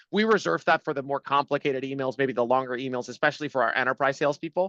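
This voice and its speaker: A man talks at a very fast pace in a bright, sharp tone. The sound is dry and close, with no echo. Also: fairly high pitch for a man, ordinary pitch variation. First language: not English. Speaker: startup CEO. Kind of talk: webinar interview.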